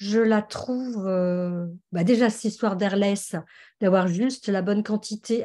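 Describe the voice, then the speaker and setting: At a medium pitch with ordinary variation, a woman speaks in a dark, mellow tone. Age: 60s. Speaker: customer giving testimony. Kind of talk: testimony. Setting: video call. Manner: hesitant, many fillers.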